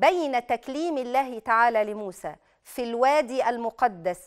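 Against a quiet background, a woman speaks fairly slowly in a high voice with lively intonation. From Egypt. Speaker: Islamic preacher and TV host; Islamic preacher, TV host. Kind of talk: religious TV program with Quran commentary and call-ins. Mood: calm, reassuring. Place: studio.

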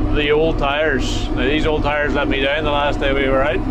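Through loud background noise, a man keeps to a moderate pace. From Northern Ireland. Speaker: farmer and video presenter. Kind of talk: casual chat. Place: farm machine. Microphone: camera far.

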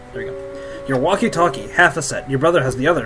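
The delivery keeps a moderate pace. Behind it, music can be heard. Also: man. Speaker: student radio station host. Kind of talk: gaming let's play commentary. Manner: casual, profane.

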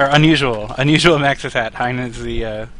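There is noticeable background noise as a man speaks at a moderate pace and a medium pitch. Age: 20s. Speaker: game commentator. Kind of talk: live commentary.

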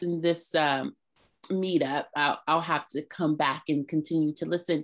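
A woman talks at a moderate pace. Her voice sits low in pitch.

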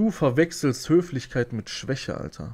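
A man talks in a somewhat breathy voice, his intonation lively and his pace moderate. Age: 30s. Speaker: YouTuber. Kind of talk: video rant; casual monologue storytelling. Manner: agitated, repetitive. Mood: aggrieved, indignant. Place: home room. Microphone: studio mic.

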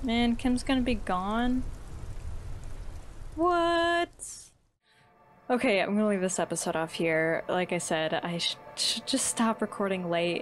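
Amid light background noise, a woman with a fairly high pitch talks at a fairly slow pace, her pitch swinging very widely between long, frequent pauses. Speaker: gaming YouTuber. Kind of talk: let's play commentary. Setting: home recording at night. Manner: soft-spoken. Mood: amused, a bit sad. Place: home room.

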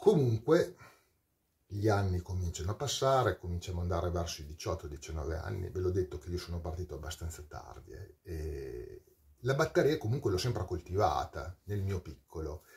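The speech moves at a moderate pace with lively intonation. It sounds somewhat breathy over a quiet background. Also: man, very deep, low pitch for a man. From Parma, northern Italy; northern Italy. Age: 40s. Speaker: metal singer. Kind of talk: storytelling monologue. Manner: animated. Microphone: webcam.

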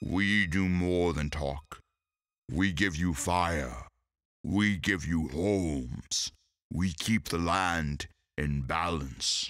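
In a put-on character voice with a solemn tone, the speaker goes at a very slow pace on a very clean recording with a silent background. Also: man, very deep, low pitch for a man. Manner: slow, solemn, wise.

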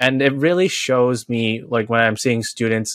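Dry, echo-free sound with a quiet background. A man speaks at a moderate pace in a monotone, flat way. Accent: American. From New York City, Queens; New York. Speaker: high school teacher. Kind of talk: casual interview. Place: home room.

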